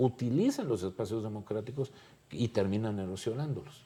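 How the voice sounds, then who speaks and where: At a moderate pace, a man talks with a dark, mellow tone, ordinary pitch variation and a somewhat breathy quality. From Mexico. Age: 60s. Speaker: political scientist. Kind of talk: panel discussion.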